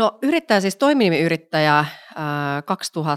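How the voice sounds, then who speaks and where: The recording is very clean with a silent background. The sound is dry and close, with no echo. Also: woman. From Finland, Vantaa (Helsinki area). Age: 30s. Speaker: entrepreneur and body positivity advocate. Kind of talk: casual interview chat.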